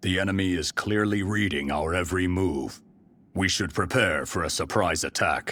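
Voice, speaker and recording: A man puts on a character voice with a very deep, low pitch. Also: moderate pace, ordinary pitch variation. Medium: video game. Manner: formal, deferential.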